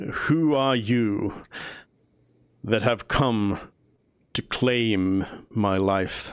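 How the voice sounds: Putting on a booming character voice at a medium pitch, a man speaks at a very slow pace with long, frequent pauses.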